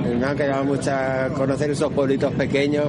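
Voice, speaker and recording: Over noticeable background noise and audible room echo, a man talks. His pitch is fairly high and his pace moderate. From Extremadura, Spain. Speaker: radio host. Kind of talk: travel radio report. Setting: on location.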